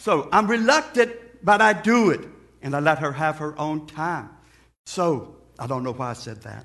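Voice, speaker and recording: An animated man's voice at a moderate pace, with very wide pitch swings, big swings in loudness and long, frequent pauses, against a quiet background. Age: 60s. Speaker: preacher. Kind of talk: sermon.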